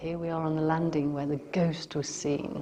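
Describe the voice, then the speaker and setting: A woman's very deep, low voice with an English accent, flat monotone intonation and a fairly quick pace. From Staffordshire, England. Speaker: vlogger, former resident of a stately home. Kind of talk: casual talk to camera.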